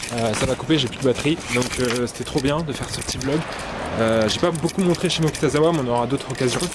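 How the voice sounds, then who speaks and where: A man's medium-pitched voice at a very fast pace, ordinary pitch variation, noticeable background noise. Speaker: vlogger and illustrator. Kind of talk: casual vlog narration.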